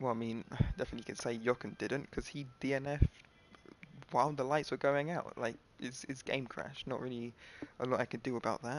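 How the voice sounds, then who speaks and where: The voice is quiet. It moves at a fairly quick pace. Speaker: gaming livestreamer. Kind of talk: casual livestream recap. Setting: solo livestream. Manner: halting.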